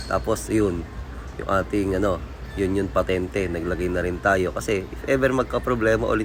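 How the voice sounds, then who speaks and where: With music in the background, a man with a very deep, low pitch talks at a moderate pace with lively intonation. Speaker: plumber, DIY tutorial vlogger. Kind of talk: tutorial. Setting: on-site outdoors at a job. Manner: casual, halting with fillers.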